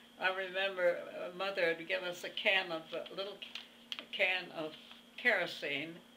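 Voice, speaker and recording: Amid noticeable background noise and audible room echo, a woman with a medium pitch speaks at a moderate pace with fairly even intonation and big swings in loudness. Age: 80s+. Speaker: centenarian interviewee. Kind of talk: interview. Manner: halting.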